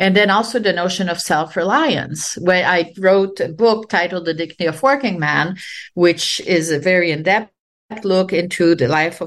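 Here a woman talks at a moderate pace in a Quebec accent. Her voice sits fairly low, with ordinary pitch variation. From Quebec, Canada. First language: French. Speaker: sociology professor. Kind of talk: interview.

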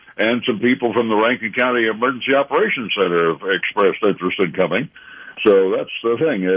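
Noticeable background noise sits behind a man speaking at a very fast pace. His voice is medium-pitched, with an American accent. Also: ordinary pitch variation. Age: 80s+. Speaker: amateur radio operator. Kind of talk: radio interview.

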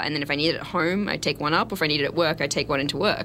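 A woman with an American accent speaks in an enthusiastic tone. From Australia. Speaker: TV sports reporter. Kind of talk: radio interview.

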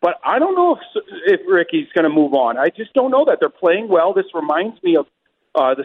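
At a fairly quick pace, a man talks in an unremarkable speaking voice with ordinary pitch variation. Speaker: baseball reporter. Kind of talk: casual interview.

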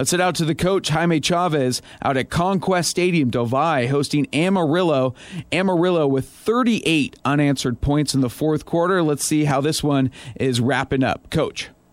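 A man at a fairly high pitch, upbeat and energetic in tone, with ordinary pitch variation, very even loudness and a moderate pace. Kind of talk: live radio sports show hosting, with ad reads and handoffs to reporters. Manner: polished, upbeat, energetic broadcaster delivery.

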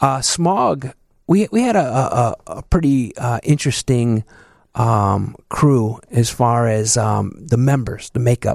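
Very slowly, a man talks at medium pitch with ordinary pitch variation. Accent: Chicago. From Chicago, southeast side. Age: 50s. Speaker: DJ. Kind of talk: casual interview.

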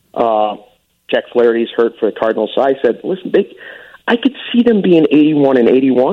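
A man talks at a moderate pace in an American accent. His fairly high voice moves through very wide pitch swings. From Chicago suburbs, Arlington Heights. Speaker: sports broadcaster. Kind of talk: casual chat. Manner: animated.

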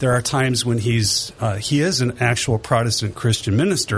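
With an American accent, a man of medium pitch talks at a moderate pace over noticeable background noise. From Detroit, Michigan. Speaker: church council representative. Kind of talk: casual radio interview.

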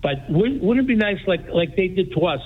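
A man with a Greek accent. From Greece, raised in New Bedford. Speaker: radio caller. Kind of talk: call-in comment.

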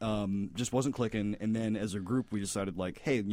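At a fairly quick pace, a man with a fairly low pitch talks in an unremarkable speaking voice, on a very clean recording with a silent background. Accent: American. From Florida. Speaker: comedy filmmaker. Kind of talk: casual chat.

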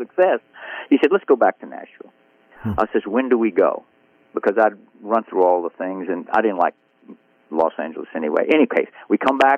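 A man with a Southern US accent talks at a fairly quick pace with big swings in loudness. He takes long, frequent pauses. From Biloxi, Mississippi. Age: 80s+. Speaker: country songwriter. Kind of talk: casual interview.

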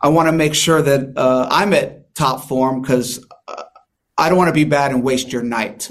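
With an American accent, a man speaks in a fairly high voice, and the room echo is audible. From San Diego, California. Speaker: magician and mentalist. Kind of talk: interview.

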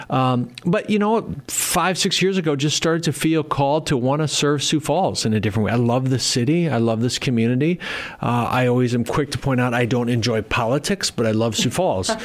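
A man with an American accent and a plain, everyday voice talks at a fairly quick pace with hardly any pauses, at medium pitch, with lively intonation and very even loudness. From Minnesota. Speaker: mayor and election candidate. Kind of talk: interview. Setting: studio.

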